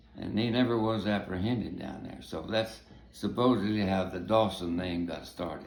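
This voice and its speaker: A man with a Texan accent and a fairly low pitch talks at a moderate pace, his loudness swinging widely while his pitch varies in an ordinary way. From Texas. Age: 80s+. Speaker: navy veteran and family storyteller. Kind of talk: oral history storytelling. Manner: halting.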